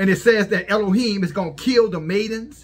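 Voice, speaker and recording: This man's pitch is high, with ordinary pitch variation. He talks at a moderate pace. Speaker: religious commentator. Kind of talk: preaching commentary. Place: home room. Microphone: phone near.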